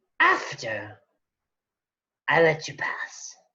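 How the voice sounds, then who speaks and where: A raspy, put-on character voice. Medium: actual play. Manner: coy, flirtatious and predatory.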